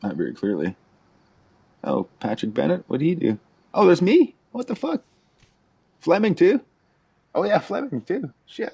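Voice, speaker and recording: A man speaks at a moderate pace with long, frequent pauses. The sound is dry and close, with no echo. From Ontario First Nation community, Canada. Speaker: musician, band founder. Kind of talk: casual chat.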